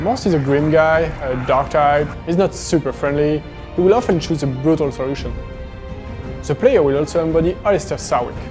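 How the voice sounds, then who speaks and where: Fairly quick delivery with ordinary pitch variation, over music in the background. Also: man, fairly high pitch for a man. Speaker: video game developer. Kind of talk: behind-the-scenes developer commentary.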